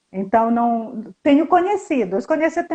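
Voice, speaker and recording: A woman's dark, mellow voice at a fairly slow pace. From Brazil, Northeast. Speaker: historian and fashion designer living abroad. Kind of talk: casual interview chat.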